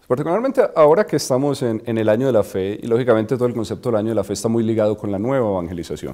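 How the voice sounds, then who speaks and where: A man speaks in a Colombian accent at a very fast pace. His medium-pitched voice has a dark, mellow tone and ordinary pitch variation. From Colombia, Medellín. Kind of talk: interview. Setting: studio. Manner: hesitant, many fillers.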